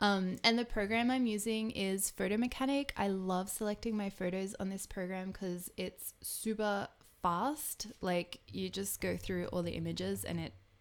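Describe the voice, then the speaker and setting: At a fairly slow pace, a woman with an Australian accent speaks at medium pitch. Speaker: photographer and video streamer; video streamer. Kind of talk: live stream chat and tutorial. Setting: live stream. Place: home room. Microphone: studio mic.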